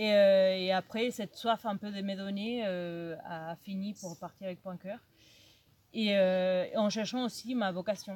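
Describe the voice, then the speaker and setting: Speaking very slowly, a woman keeps her medium-pitched voice in a fairly even intonation. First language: Spanish (speaking French). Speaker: youth ministry worker. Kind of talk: personal testimony. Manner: halting.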